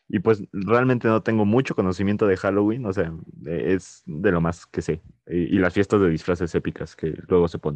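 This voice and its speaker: A man's very deep, low voice at a moderate pace, with ordinary pitch variation, a dry, close sound with no echo and a quiet background. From Mexico. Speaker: podcast co-host. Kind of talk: casual chat. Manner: hesitant, many fillers.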